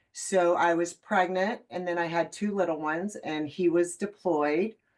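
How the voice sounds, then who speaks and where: A woman speaks in a normal speaking voice, with fairly low pitch and fairly even intonation. Her pace is moderate. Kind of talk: interview.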